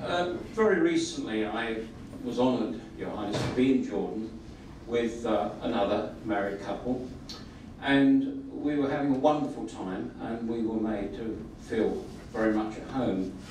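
Over light background noise and audible room echo, a man of medium pitch speaks fairly slowly with ordinary pitch variation. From Britain. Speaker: audience member. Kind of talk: audience question. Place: hall.

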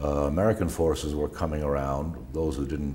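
Over light background noise, a man with a very deep, low voice talks at a fairly quick pace. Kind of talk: interview answer. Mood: calm, reflective recollection. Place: studio.

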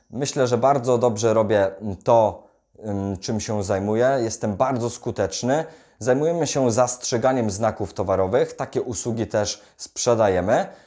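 A man speaks at medium pitch in a dark, mellow tone. His pace is moderate, his pitch variation ordinary, and the background quiet. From Poland, Greater Poland (Wolsztyn). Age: 20s. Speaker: self-development YouTuber and salesman. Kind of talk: direct-to-camera vlog monologue.

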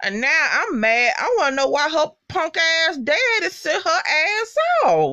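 Over a quiet background, a woman with an extremely high voice speaks at a fairly slow pace in an animated tone, with very wide pitch swings. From US South, Mississippi. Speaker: YouTuber reviewing TV shows. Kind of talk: casual vlog recap. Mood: animated, annoyed, expressive. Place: home room. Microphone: earbuds.

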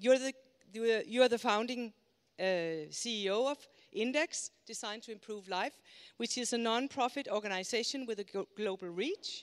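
Against a quiet background, a woman with a normal speaking voice talks at a fairly slow pace and fairly high pitch, with ordinary pitch variation. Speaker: conference moderator. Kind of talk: speaker introduction. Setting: stage with audience. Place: hall. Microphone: handheld.

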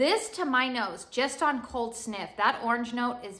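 An American accent with a bright, sharp tone at a fairly slow pace. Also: woman. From California. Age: 30s. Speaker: beauty and home fragrance YouTuber. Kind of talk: product review haul video. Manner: casual, chatty. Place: home room. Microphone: phone near.

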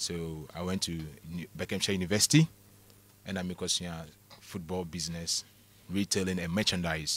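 A man with a very deep, low voice speaks in a flat monotone at a fairly quick pace. Long, frequent pauses break it up, and the sound is dry with no echo. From Ghana. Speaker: former football club general manager; guest. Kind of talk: radio interview. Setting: radio studio. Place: studio. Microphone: studio mic.

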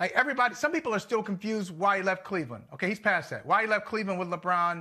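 A man speaks in a raised, projected voice with a bright, sharp tone and ordinary pitch variation over a quiet background. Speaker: sports talk show co-host. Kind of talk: commentary. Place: home room. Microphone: lapel.

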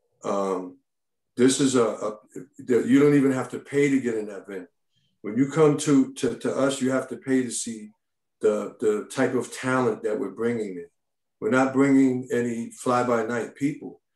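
In an American accent, a man speaks at a moderate pace and medium pitch with ordinary pitch variation, in a quiet background with audible room echo. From Brooklyn, New York; New York. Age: 50s. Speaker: comedy club owner. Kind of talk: community board hearing. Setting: video call. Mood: defensive, insistent. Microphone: video call.

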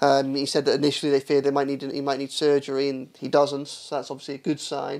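A man with a fairly high pitch rattles along at a very fast pace with hardly any pauses, his intonation monotone and flat. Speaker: football correspondent. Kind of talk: football podcast analysis. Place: studio. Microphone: studio mic.

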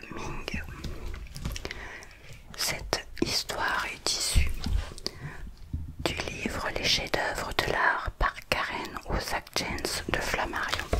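Speech comes in a whisper, very slowly. Pauses are long and frequent. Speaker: ASMR creator. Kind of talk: whispered ASMR reading of an art book. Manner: whispered. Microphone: studio mic.

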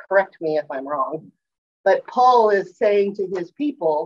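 Very wide pitch swings mark a woman's fairly slow speech over light background noise. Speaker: class teacher sharing slides. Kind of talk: class discussion lecture. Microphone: video call.

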